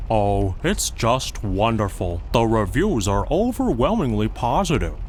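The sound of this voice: A man's cartoonish character voice at a moderate pace, with clear background noise.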